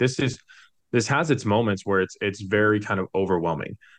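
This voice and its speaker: Over a quiet background, a man speaks at a moderate pace in an ordinary speaking voice with a fairly low pitch. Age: 30s. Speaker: mortgage professional and financial consultant. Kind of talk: casual chat.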